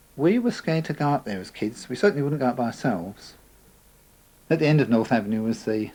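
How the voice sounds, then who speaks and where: This man has an Essex accent and a dark, mellow, relaxed tone. He talks at a fairly quick pace with lively intonation. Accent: southern English, Essex. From England, Essex (Chelmsford). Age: 50s. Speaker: local resident sharing memories. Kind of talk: oral history interview. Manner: relaxed, conversational with fillers.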